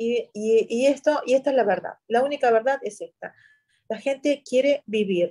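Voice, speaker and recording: This woman has a fairly high pitch, a dark, mellow tone and ordinary pitch variation, speaking with an Arabic accent. Her sound is dry and close, with no echo. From Syria, Yabrud near Lebanese border. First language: Arabic (speaking Spanish). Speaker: journalist. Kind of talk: interview.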